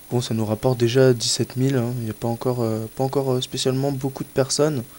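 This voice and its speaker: Monotone, flat intonation delivered at a fairly quick pace. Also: man. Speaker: gaming youtuber. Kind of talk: let's play commentary. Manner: halting.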